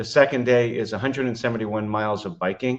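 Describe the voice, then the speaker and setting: A man speaks in an ordinary speaking voice at a medium pitch with fairly even intonation. The background is quiet. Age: 60s. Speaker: trial attorney and triathlete. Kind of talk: podcast interview. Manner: frequent fillers (uh, um).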